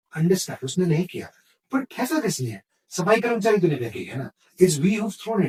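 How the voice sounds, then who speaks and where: A man speaks in an animated tone. His pitch is high. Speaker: radio jockey and content creator. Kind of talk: podcast interview answer, casual conversation. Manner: animated, storytelling.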